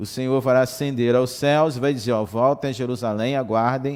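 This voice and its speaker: With a normal speaking voice, a man talks at a medium pitch and moderate pace with fairly even intonation, on a very clean recording with a silent background. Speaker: Sunday school teacher. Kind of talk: Bible lesson. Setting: livestream and web radio.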